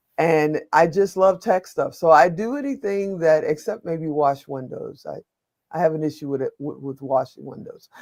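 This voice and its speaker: In an American accent, a woman speaks at a moderate pace with fairly low pitch and lively intonation, in an unremarkable speaking voice. Her loudness swings widely. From Chicago, US Midwest. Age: 60s. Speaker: media producer, entrepreneur and veteran. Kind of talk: webinar panel interview. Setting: online webinar.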